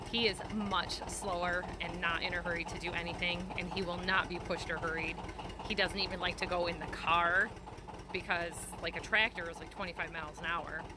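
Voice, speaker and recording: A woman speaks at a fairly quick pace with a fairly low pitch and monotone, flat intonation, amid noticeable background noise and audible room echo. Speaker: small farmer and homesteader. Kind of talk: casual vlog narration. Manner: fast; loud.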